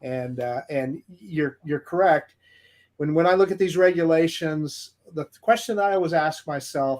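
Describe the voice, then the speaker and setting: At a moderate pace, a man with a plain, everyday voice talks at a fairly high pitch with ordinary pitch variation. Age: 60s. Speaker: drone enthusiast. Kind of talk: casual chat.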